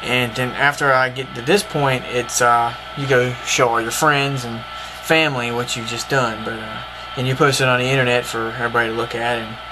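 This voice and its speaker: Noticeable background noise sits behind the voice. A man with a Southern US accent keeps a fairly even intonation. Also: medium pitch for a man, fairly quick pace. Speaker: cartoonist. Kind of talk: casual art tutorial to camera.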